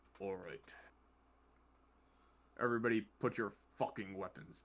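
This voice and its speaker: A booming, put-on character voice moves at a moderate pace. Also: man, medium pitch for a man. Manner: commanding.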